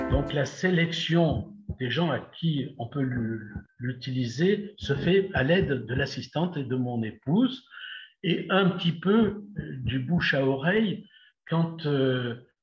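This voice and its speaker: A man speaks at a very slow pace, fairly high in pitch. His intonation is lively and his voice somewhat breathy. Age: 70s. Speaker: retired dentist. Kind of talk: interview.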